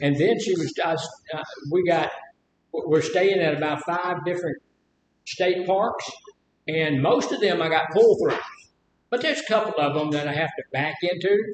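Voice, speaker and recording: A man with a Mississippi accent talks at a moderate pace in a high pitch, using ordinary pitch variation and long, frequent pauses. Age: 70s. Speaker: live stream host. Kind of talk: casual chat.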